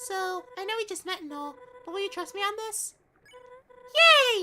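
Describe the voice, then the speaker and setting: Putting on a character voice, a man goes squeaky and extremely high in pitch at a moderate pace. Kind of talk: streamer's put-on female voice. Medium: game stream. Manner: enthusiastic, chatty.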